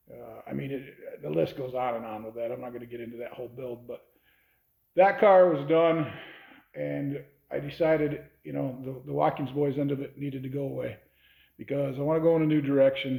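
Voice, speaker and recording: With a plain, everyday voice, a man at a medium pitch talks at a fairly quick pace, his intonation fairly even but his loudness swinging widely. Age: 60s. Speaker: hot rod shop owner. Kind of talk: casual talk to camera.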